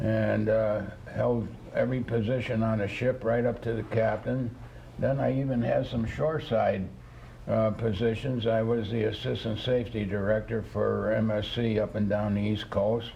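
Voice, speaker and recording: In an American accent, a man talks with monotone, flat intonation and very even loudness, with audible room echo around him. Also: medium pitch for a man, moderate pace. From New York State, US. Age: 80s+. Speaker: retired ship captain. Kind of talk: interview.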